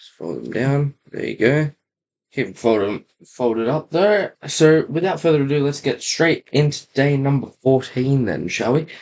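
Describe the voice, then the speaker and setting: A man talks in a normal speaking voice at a fairly high pitch and a moderate pace. His pitch varies in an ordinary way while his loudness swings widely. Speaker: YouTuber building toy kits. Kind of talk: casual build vlog. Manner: casual. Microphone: laptop mic.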